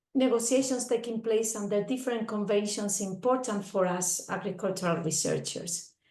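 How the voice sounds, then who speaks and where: A woman with a medium pitch sounds somewhat breathy, with very even loudness and ordinary pitch variation. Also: moderate pace. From Spain. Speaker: agricultural researcher. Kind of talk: presentation.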